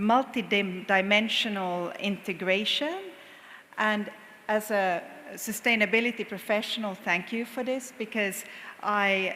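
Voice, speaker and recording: A woman with a Finnish accent talks at a fairly high pitch. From Finland. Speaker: corporate sustainability executive, panel speaker. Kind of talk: conference panel talk.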